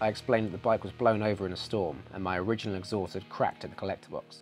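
At a very fast pace, a man talks in a fairly low pitch. Faint music plays in the background. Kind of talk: tutorial narration. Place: garage. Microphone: lapel.

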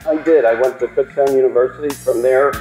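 Audible room echo and faint background music surround a slightly mellow tone with fairly even intonation. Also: man.

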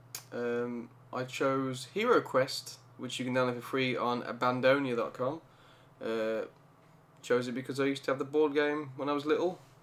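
A man mumbles with a Birmingham accent. His pace is moderate and his intonation fairly even. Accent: Birmingham (Brummie). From Birmingham, England. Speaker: gamer. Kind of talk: casual let's play commentary. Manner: mumbling. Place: home room. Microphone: studio mic.

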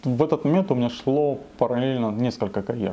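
Speaking fairly quickly, a man's voice carries a dark, mellow tone. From Krasnodar Krai, southern Russia. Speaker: bodybuilder and fitness blogger; interviewee. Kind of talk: interview, personal storytelling; interview answer. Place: home room.

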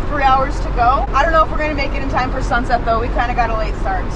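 A woman talks with crowd noise in the background. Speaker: travel vlogger. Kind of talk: casual vlog chat. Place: car. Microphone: phone near.

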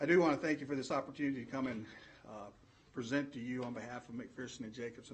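A man with a Southern US accent speaks at a fairly high pitch, his intonation fairly even. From Alabama, US South. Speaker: education consultant, former superintendent. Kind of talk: formal presentation to school board. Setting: board meeting room.

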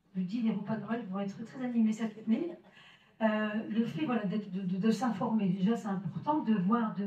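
A woman's fairly high voice at a moderate pace, with fairly even intonation and audible room echo. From northern France, Maubeuge; northern France. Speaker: solidarity association representative; association representative at a public debate. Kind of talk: public presentation. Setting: village hall with audience. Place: hall.

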